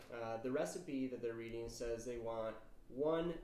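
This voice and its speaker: A man speaks amid noticeable background noise. Room echo is audible. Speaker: chemistry teacher. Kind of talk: lecture. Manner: casual, many filler words.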